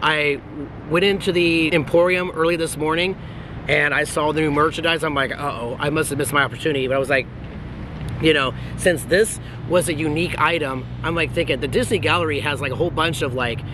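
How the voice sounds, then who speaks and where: A man talks at a very fast pace with fairly even intonation. Noticeable background noise is present, and the sound is dry with no echo. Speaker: vlogger. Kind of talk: casual vlog chat. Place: street. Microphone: phone near.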